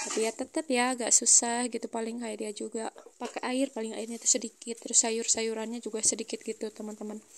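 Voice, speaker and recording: Soft-spoken but with big swings in loudness, a woman with a fairly high voice talks very fast in a monotone, flat way with hardly any pauses, over noticeable background noise. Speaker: housewife vlogger. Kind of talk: vlog voice-over narration. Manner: quiet, soft-spoken; hesitant, many fillers.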